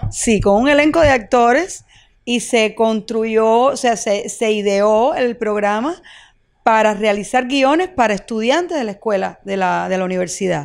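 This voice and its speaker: A woman talks in a normal speaking voice at a fairly high pitch and a fairly slow pace. Her intonation is lively, and the background is quiet. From Cuba, Villa Clara; Cuba. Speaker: actress. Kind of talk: interview. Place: home room. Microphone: handheld.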